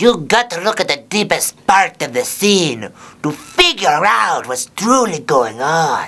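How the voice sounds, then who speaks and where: This is a put-on character voice with very wide pitch swings. It moves at a fairly slow pace. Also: man, high pitch for a man. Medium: read story. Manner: stern, instructive.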